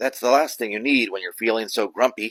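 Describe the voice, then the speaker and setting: A man puts on a raspy character voice at medium pitch. His pace is fairly quick. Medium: read story. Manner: gentle, friendly.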